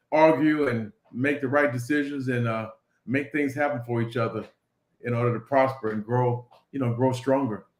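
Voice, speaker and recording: Using an unremarkable speaking voice, a man talks at a moderate pace and a medium pitch. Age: 60s. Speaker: business owner. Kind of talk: interview.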